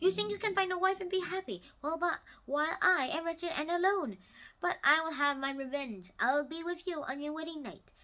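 A woman's put-on character voice, extremely high in pitch, at a fairly quick pace. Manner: howling, furious.

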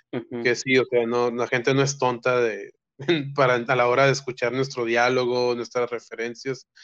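A man speaks with monotone, flat intonation. The background is quiet. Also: moderate pace. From Mexico. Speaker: filmmaker; guest. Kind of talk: casual chat. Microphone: video call.

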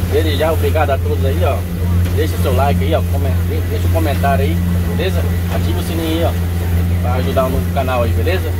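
A man talking very fast over loud background noise. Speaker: fishing vlogger. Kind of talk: casual vlog chat. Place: boat. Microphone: phone near.

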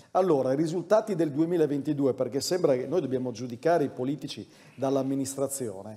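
A man speaks with a dark, mellow tone at a fairly high pitch. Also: ordinary pitch variation, fairly quick pace. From Udine, Friuli; Friuli. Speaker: mayoral candidate; candidate. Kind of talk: political debate. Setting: stage with audience. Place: hall. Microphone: lapel.

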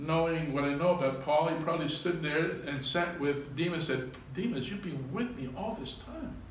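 Amid light background noise and audible room echo, a man speaks with hardly any pauses. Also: ordinary pitch variation, moderate pace. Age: 60s. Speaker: pastor. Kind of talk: sermon. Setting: church. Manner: halting. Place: church. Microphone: camera far.

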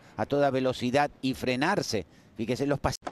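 A man's fairly high voice with fairly even intonation, crowd noise behind him. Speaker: tennis commentator. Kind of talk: live sports commentary, analytical, praising play. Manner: fluent technical explainer.

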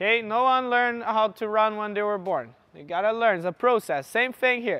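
A man with an extremely high pitch talks at a moderate pace with ordinary pitch variation. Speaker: fitness coach. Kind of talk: coaching instruction. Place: hall.

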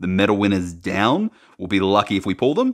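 An ordinary speaking voice, this man talks at a moderate pace and fairly low pitch against a quiet background. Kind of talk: casual unboxing commentary. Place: home room.

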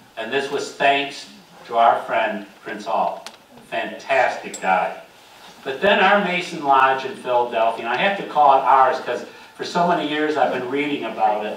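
Amid light background noise and audible room echo, a man with an American accent speaks at a moderate pace in a fairly high pitch with lively intonation. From US Northeast. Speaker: local history presenter. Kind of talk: slideshow lecture to audience. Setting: meeting room with live audience. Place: hall.

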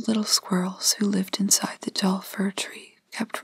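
Straightforward reading aloud

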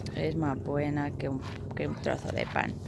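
At a fairly slow pace, the speech comes with noticeable background noise and a dry sound with no echo. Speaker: vlogger. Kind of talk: casual vlog chat. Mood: affectionate, cooing. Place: open country.

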